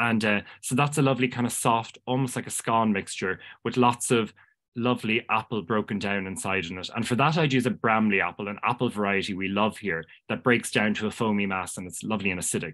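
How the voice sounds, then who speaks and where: A man's fairly low voice at a very fast pace, with a Cork accent, ordinary pitch variation and a quiet background. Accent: Irish (Cork). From Ireland. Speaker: pastry chef. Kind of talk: casual interview chat. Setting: video call. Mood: warm, enthusiastic. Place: home room. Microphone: earbuds.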